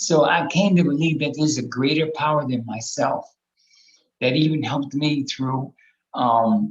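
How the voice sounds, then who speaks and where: A man's fairly high voice sounds somewhat breathy, moving at a moderate pace with ordinary pitch variation. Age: 60s. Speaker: harm reduction housing advocate, panel guest. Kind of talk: personal testimony in a panel discussion. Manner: halting, heavy filler words.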